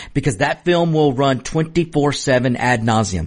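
A man's somewhat breathy, medium-pitched voice with an American accent, an animated tone and lively intonation at a moderate pace, against a quiet background. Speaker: radio host. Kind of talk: opinionated talk radio monologue, political commentary. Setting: studio. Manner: animated, emphatic, repeats words for emphasis; conversational, fiery, addresses listeners directly.

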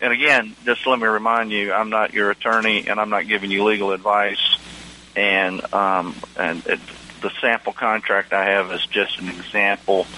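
A man with an American accent speaks at a moderate pace in a fairly low voice. His intonation is monotone and flat, and there is noticeable background noise. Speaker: attorney and land surveyor, radio host. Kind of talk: educational radio talk show monologue. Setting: radio studio broadcast. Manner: relaxed, hesitant, filler-heavy.

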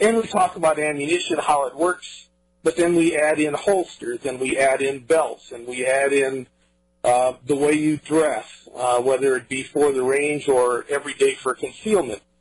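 A man with an American accent and a plain, everyday voice, at a moderate pace with ordinary pitch variation. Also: fairly high pitch for a man. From US Midwest, Iowa. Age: 60s. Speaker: firearms instructor. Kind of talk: interview.

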